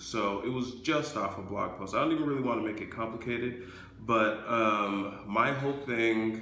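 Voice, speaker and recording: A man speaks at a moderate pace. Light background noise and audible room echo are present. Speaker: entrepreneur vlogger. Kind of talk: casual vlog chat.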